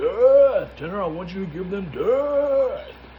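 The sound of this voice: Using a gravelly, put-on character voice, a man speaks at a fairly slow pace. Clear background noise runs underneath.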